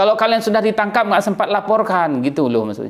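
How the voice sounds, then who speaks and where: A man is speaking. His pitch swings very widely. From Aceh, Indonesia. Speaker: YouTube commentator. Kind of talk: opinion monologue. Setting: indoors in a room. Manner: loud.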